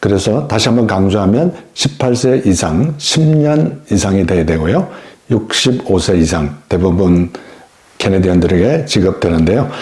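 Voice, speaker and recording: A man speaks at a fairly low pitch. His voice swings very widely in pitch. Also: fairly slow pace. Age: 60s. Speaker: YouTuber explaining senior benefits. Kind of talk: informational talk to camera. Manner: friendly, conversational.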